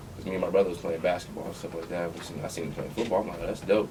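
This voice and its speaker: A man talks at a very fast clip in a very deep, low voice, his intonation fairly even but his loudness swinging widely over noticeable background noise. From Compton, California. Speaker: former college football player. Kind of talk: casual podcast interview.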